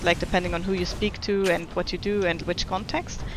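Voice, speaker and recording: Against noticeable background noise, a woman with a German accent talks at a fairly quick pace in a medium pitch with fairly even intonation. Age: 20s. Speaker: video game streamer. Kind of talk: casual chat. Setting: live stream.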